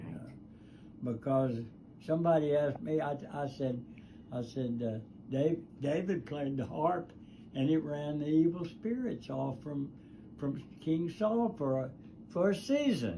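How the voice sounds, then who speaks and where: A man's dark, mellow, somewhat breathy voice at a fairly slow pace with lively intonation. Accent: Southern US. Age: 80s+. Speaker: guitar builder; war veteran. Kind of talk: casual conversation in workshop. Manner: slow, rambling storytelling.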